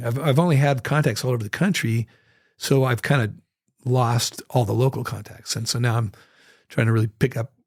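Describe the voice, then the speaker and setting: A man with an American accent talks at a moderate pace, his voice somewhat breathy and his intonation fairly even. The sound is dry and close, with no echo. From northern Idaho. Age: 60s. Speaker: musician. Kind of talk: casual chat. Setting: studio.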